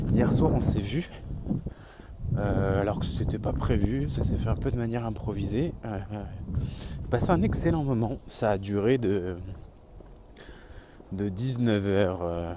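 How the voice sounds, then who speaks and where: A man speaks at a very slow pace, with long, frequent pauses and audible room echo. His fairly low pitch carries lively intonation. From southern France. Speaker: vlogger. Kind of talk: casual vlog. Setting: outdoors on the street.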